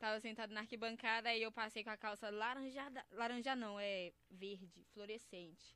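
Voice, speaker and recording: Using a plain, everyday voice, a woman talks at a moderate pace with fairly high pitch and hardly any pauses. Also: fairly even intonation. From Belo Horizonte, Brazil. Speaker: funk MC. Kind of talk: casual interview chat. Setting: studio.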